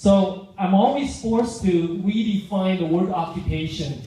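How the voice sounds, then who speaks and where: A man with a Vietnamese accent at a fairly slow pace, high-pitched with ordinary pitch variation, amid noticeable background noise and audible room echo. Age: 50s. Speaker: public speaker. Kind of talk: speech.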